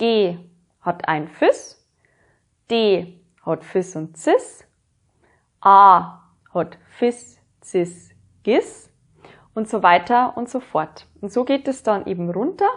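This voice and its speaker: The speaker talks at a very slow pace with long, frequent pauses. The intonation is lively. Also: woman, medium pitch for a woman. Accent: Bavarian. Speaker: music teacher. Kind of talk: educational lesson.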